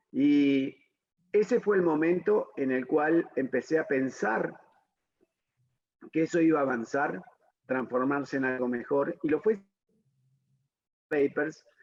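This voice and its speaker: A man with a fairly high pitch talks fairly slowly, his pitch moving in an ordinary way. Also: long, frequent pauses. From Argentina, Buenos Aires. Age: 60s. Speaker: dentist and professor. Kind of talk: interview. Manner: hesitant, many fillers.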